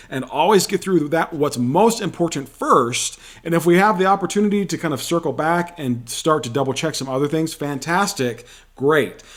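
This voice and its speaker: A man with a fairly high pitch talks at a moderate pace in an animated tone, with ordinary pitch variation. The recording is very clean, with a silent background. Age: middle-aged. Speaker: vlogger, single dad. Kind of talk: casual advice monologue.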